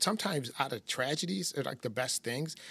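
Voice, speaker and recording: With an American accent, a man uses a plain, everyday voice at a medium pitch, with lively intonation and a fairly quick pace, in a very clean recording with a silent background. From upstate New York, near Syracuse. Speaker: criminal defense attorney. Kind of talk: interview.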